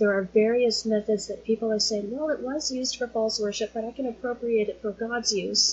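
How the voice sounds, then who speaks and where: Noticeable background noise sits behind a woman speaking at a moderate pace, her fairly high pitch carried by fairly even intonation. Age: 40s. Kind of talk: casual teaching monologue.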